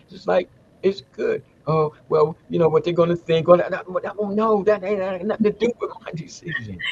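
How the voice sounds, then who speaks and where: Noticeable background noise sits behind a man talking at a fairly quick pace. His loudness swings widely. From United States. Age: 70s. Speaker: Ifa elder and English professor. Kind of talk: casual chat. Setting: live stream.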